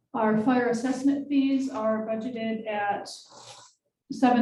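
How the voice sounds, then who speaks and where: A woman with an American accent speaks at a moderate pace with a fairly high pitch. Audible room echo surrounds her voice. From New York. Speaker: city finance official. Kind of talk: budget presentation at council meeting. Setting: city council meeting.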